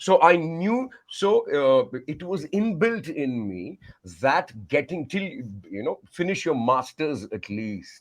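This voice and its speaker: In a quiet background, a man with a Tamil accent speaks at a very slow pace, his fairly high pitch making very wide swings. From India, Madhya Pradesh and Maharashtra. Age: 50s. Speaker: communication coach and singer. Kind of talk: podcast interview. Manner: animated.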